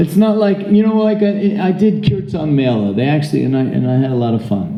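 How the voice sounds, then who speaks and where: Loud and with an American accent, a man talks at a moderate pace with very wide pitch swings, and room echo is audible. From United States. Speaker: Hare Krishna preacher. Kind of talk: religious talk. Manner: animated.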